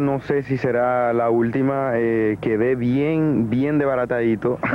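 Over light background noise, a man speaks at very even loudness, the sound dry with no echo. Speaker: interviewee. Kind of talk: interview answer. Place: waterside. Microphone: handheld.

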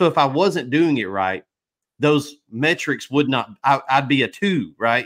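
A man's fairly high, animated voice with lively intonation at a fairly slow pace against a quiet background. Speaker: pressure washing equipment business owner. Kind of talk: casual chat. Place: home room. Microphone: studio mic.

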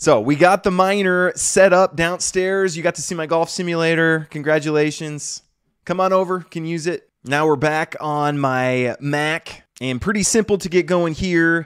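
This man speaks with hardly any pauses, his high voice showing ordinary pitch variation. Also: moderate pace, quiet background. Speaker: tech video creator. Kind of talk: tutorial. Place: home room. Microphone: studio mic.

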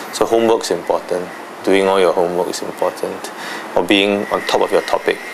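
A man's fairly quick speech over noticeable background noise. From Singapore. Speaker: interviewee, former debater; interviewee. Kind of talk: interview; interview answer. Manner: halting. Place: home room.

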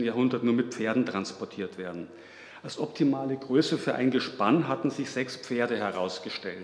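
A man talks at a moderate pace. Room echo is audible. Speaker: conference lecturer. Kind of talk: lecture. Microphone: podium.

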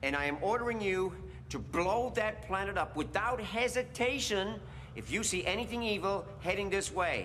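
A man's raised, projected voice at a moderate pace, with lively intonation and light background noise. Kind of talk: scripted drama dialogue. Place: studio.

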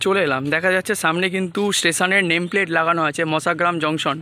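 A man speaks at a high pitch in a dry recording with no echo. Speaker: travel vlogger; rail update vlogger. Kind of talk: walking vlog narration. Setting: outdoors at a railway station. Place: station. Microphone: phone near.

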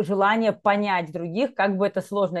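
Against a quiet background, a woman speaks at a moderate pace in a dry sound with no echo. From Belarus. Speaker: executive and leadership coach, HR professional; podcast guest, leadership coach. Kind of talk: interview. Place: home room. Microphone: earbuds.

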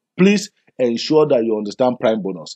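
A man speaks with a Nigerian accent. His intonation is lively. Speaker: business presenter. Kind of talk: sales pitch. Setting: video. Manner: persuasive.

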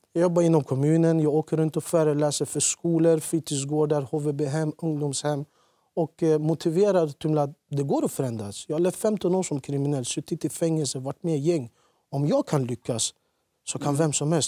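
A man with a fairly high pitch and a dark, mellow tone speaks at a moderate pace with fairly even intonation. The sound is dry with no echo, against a quiet background. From Iraqi Kurdistan, moved to Sweden at age 10. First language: Kurdish (speaking Swedish). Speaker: former offender, youth lecturer; talk show guest. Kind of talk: TV interview; interview answer. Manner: hesitant with fillers. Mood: serious, reflective. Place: studio. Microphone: lapel.

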